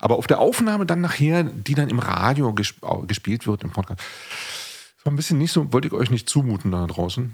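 A man talks at a moderate pace with very wide pitch swings. His voice is somewhat breathy. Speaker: podcast host and musician. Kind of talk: casual chat.

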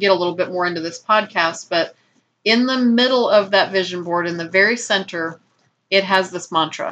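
A woman with an ordinary speaking voice, medium pitch and moderate pace. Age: 50s. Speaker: podcast host. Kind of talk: motivational self-help talk. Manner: warm.

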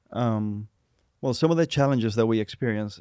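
A man with a Puerto Rican accent is heard on a very clean recording with a silent background and a dry, close sound that has no echo. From Puerto Rico. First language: Spanish. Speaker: Spanish teacher. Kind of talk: casual interview conversation.

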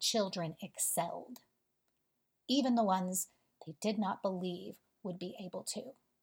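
A somewhat breathy woman speaks at a fairly slow pace in a very clean recording with a silent background. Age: 40s. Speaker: spiritual podcast host. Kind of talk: spiritual monologue.

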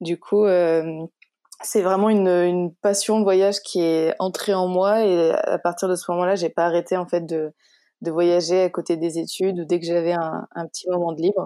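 Over a very clean recording with a silent background, a dark, mellow voice speaks at a moderate pace in a monotone, flat intonation. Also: woman, fairly low pitch for a woman. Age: 20s. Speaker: founder of a charity, travel journalist. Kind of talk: interview. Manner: halting, many repetitions.

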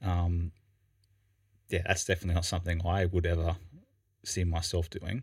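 On a very clean recording with a silent background, a man with an Australian accent speaks in a very deep, low pitch, somewhat breathy and monotone, at a moderate pace with long, frequent pauses. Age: 30s. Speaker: podcast co-host. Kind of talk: casual chat. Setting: studio.

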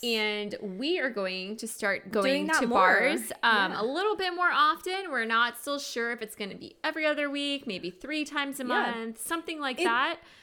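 Over noticeable background noise, a woman speaks at a high pitch with very wide pitch swings, keeping a moderate pace with hardly any pauses. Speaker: podcast co-host. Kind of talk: casual, chatty.

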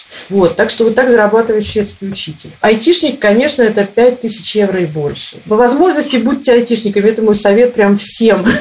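Against noticeable background noise, a woman with a fairly high pitch talks in an animated tone at a fairly quick pace, with hardly any pauses. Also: ordinary pitch variation. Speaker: emigrant interviewee. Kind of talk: interview.

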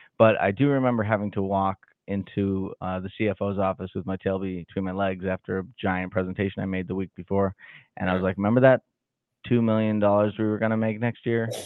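A man with a plain, everyday voice and an American accent, at a fairly quick pace with fairly even intonation. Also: fairly low pitch for a man. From Massachusetts, Salem. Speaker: podcast host and Excel trainer. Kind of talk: casual interview.

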